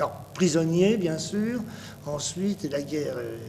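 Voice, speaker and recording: With lively intonation and audible room echo, a man talks at a fairly slow pace. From Paris, France. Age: 60s. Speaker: painter and tapestry designer. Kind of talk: interview. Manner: halting, many hesitations.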